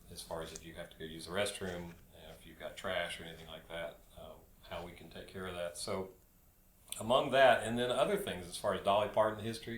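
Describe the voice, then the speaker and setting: Audible room echo surrounds a man who speaks at a fairly quick pace. His pitch variation is ordinary, with big swings in loudness. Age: 60s. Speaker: hiking guide. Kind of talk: casual chat. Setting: studio.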